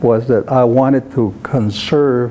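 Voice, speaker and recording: Over noticeable background noise, a man with a medium pitch and ordinary pitch variation speaks at a very slow pace. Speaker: Zuni elder, civil engineer, veteran. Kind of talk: interview answer. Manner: conversational, hesitant with fillers.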